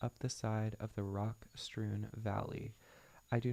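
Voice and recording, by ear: The speaker reads aloud in a natural voice. The intonation stays fairly even.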